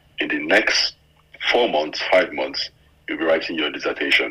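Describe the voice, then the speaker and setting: This is a male speaker. The recording carries noticeable background noise. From Nigeria. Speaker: former scholarship student and journalist. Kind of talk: casual interview.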